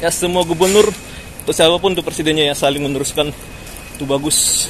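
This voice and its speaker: A man speaks very fast with fairly high pitch and fairly even intonation. Noticeable background noise is present. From Jakarta, raised partly in a village. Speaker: vlogger. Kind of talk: walking vlog commentary. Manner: casual, conversational.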